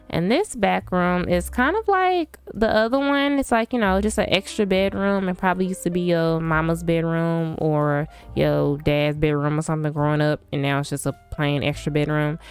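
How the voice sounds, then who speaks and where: Music plays in the background as a woman with a fairly low pitch speaks at a moderate pace. Her tone is animated and her intonation lively. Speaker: gaming YouTuber. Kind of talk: casual build tour commentary.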